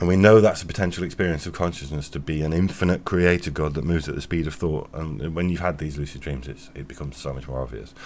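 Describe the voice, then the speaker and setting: Very deep and low, a man's voice rushes at a very fast pace with vocal fry. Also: ordinary pitch variation, hardly any pauses. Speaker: podcaster. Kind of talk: philosophical monologue. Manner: halting.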